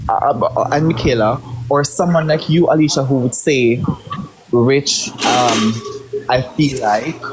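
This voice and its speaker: A man with a Jamaican accent, medium pitch, lively intonation and very even loudness, over noticeable background noise. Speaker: livestream participant. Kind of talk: heated debate.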